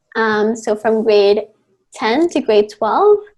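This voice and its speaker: With a Spanish accent, a woman talks at a middling speed. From Mexico City, Mexico. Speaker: rock band singer and university student. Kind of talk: podcast interview.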